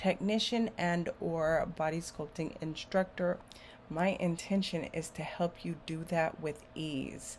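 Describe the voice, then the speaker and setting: At a very slow pace, a woman talks in a fairly low, somewhat breathy voice with fairly even intonation. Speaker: beauty entrepreneur and body sculpting instructor. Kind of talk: casual monologue to camera.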